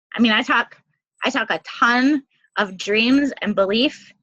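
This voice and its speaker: A woman's high-pitched voice with a bright, sharp tone, in a dry, close sound with no echo. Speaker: network marketing coach. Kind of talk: team call talk. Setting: conference call. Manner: fast; animated.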